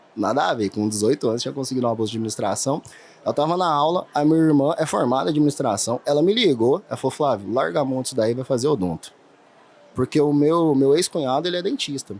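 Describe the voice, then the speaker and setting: With a Minas Gerais accent, a man speaks at a very fast pace. His voice is fairly high, with lively intonation. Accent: mineiro. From Minas Gerais, Brazil (interior). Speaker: dentist, implant surgeon. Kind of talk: podcast interview.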